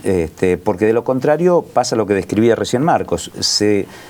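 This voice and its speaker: A man speaks with very wide pitch swings. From Argentina, Buenos Aires coast (Pinamar area). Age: 60s. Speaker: local political candidate. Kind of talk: political discussion.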